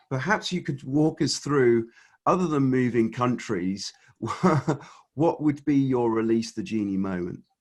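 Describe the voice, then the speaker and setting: Against a quiet background, a man with an English accent speaks at a fairly slow pace in a medium pitch, his intonation lively. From England. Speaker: podcast host. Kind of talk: interview.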